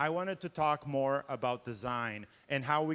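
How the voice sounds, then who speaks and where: A plain, everyday voice, a man's, fairly high in pitch, with an American accent, ordinary pitch variation, and a dry, close sound with no echo. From Brazil until 12, then Boston, US. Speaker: game developer and professor. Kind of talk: conference talk. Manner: many filler 'uh's.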